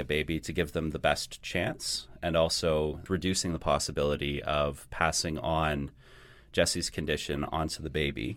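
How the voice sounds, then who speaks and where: A very clean recording with a silent background, at a moderate pace. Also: man. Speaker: podcast co-host. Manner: monotone.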